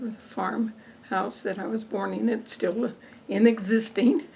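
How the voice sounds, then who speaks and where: With an American accent, a woman speaks at a medium pitch and a fairly slow pace over noticeable background noise. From northern Colorado, near Windsor. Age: 80s+. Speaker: farm wife, oral history interviewee. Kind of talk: oral history interview.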